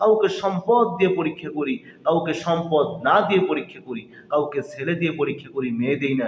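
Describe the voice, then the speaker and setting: A man's fairly high voice rises and falls in a lively way against noticeable background noise. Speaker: Islamic preacher and Quran reciter. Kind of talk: Islamic waz sermon giving religious advice to viewers.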